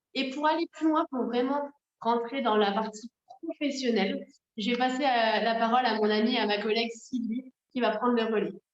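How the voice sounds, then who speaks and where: This is an unremarkable speaking voice, a woman's, fairly high in pitch with ordinary pitch variation and very even loudness. She goes at a moderate pace, and the sound is dry and close, with no echo. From north-eastern France, Moselle. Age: 30s. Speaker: network marketing coach. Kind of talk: sales pitch.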